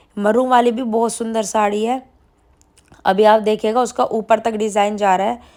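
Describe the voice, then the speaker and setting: In a very clean recording with a silent background, a woman speaks at a moderate pace in a fairly high pitch with monotone, flat intonation. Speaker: vlogger. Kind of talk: casual vlog narration.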